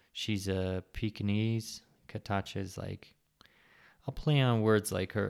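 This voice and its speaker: A man mumbles at a fairly low pitch. The recording is very clean, with a silent background. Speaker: podcast host on sobriety. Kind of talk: casual solo monologue. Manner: mumbling.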